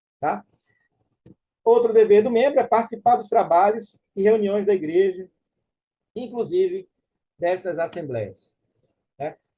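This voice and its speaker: Slowly, but only fairly so, and with long, frequent pauses, a man talks in a high, dark, mellow voice with ordinary pitch variation. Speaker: church teacher. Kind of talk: lecture.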